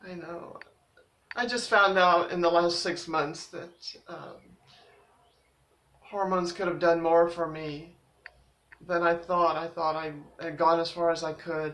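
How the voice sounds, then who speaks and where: A woman's fairly low, monotone voice with flat intonation, a fairly slow pace, long and frequent pauses, big swings in loudness and audible room echo. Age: 60s. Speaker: vlogger. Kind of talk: personal vlog. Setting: laundry room at home. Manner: halting.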